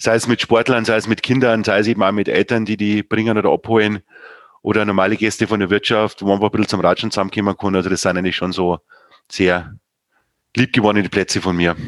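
A man talks at a very fast pace in a monotone, flat delivery, his pitch fairly low and his loudness very even. The recording is very clean, with a silent background and a dry, close sound with no echo. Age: 40s. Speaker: sports club chairman. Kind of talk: casual interview.

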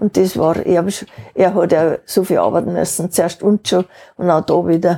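A woman speaks at a moderate pace with fairly low pitch and fairly even intonation. Her tone is dark and mellow with vocal fry, in a dry, close sound with no echo. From Upper Bavaria, Wartenberg. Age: 80s. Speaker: interviewee, retiree. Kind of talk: casual interview.

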